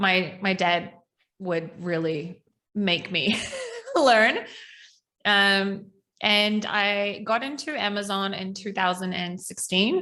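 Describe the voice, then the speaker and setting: A woman with a New Zealand accent speaks at a very slow pace with long, frequent pauses. Her tone is bright and sharp, with ordinary pitch variation. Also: medium pitch for a woman. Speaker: ecommerce coach. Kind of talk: podcast interview.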